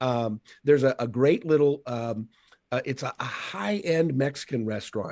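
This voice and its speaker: Here is a man with an American accent and a normal speaking voice, medium in pitch, at a moderate pace. The sound is dry and close, with no echo. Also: ordinary pitch variation. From Seattle, US Pacific Northwest. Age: 50s. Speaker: motivational speaker. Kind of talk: casual chat.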